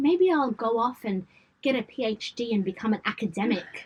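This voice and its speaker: A woman with a western Sydney accent, fairly high pitch, lively intonation and a moderate pace. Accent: western Sydney Australian. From Australia, western Sydney. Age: 20s. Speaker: events company founder. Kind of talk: podcast interview. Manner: casual.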